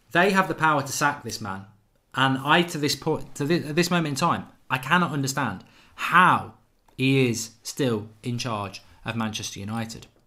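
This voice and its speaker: A man speaks at a medium pitch with an English accent, his tone bright and sharp. His pace is moderate and his intonation lively. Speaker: football fan channel host. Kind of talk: live stream fan show with callers. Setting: live stream.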